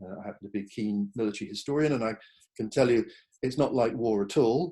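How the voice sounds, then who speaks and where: A man's dark, mellow voice with an English accent, very fast in pace, with ordinary pitch variation. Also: medium pitch for a man. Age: 60s. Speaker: psychotherapist. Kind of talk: online talk presentation. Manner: hesitant fillers.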